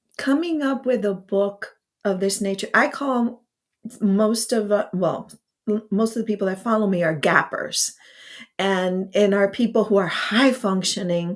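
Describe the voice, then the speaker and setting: A woman with medium pitch, ordinary pitch variation and an ordinary speaking voice. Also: fairly slow pace. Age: 50s. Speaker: podcast host. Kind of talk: live interview. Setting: live stream.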